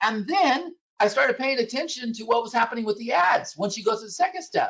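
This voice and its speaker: A woman speaks at a high pitch with very wide pitch swings. Her pace is moderate. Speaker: software presenter. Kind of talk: sales presentation. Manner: loud.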